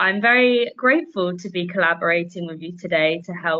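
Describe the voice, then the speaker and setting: Speaking with a London accent, a woman with a fairly low pitch keeps a moderate pace and ordinary pitch variation. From London, England. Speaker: English teacher. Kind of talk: casual interview.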